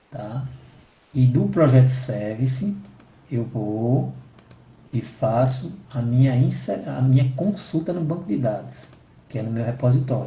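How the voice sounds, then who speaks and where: A man speaks at a fairly slow pace with long, frequent pauses, and audible room echo surrounds him. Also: medium pitch for a man, ordinary pitch variation. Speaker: software development instructor. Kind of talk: technical training session.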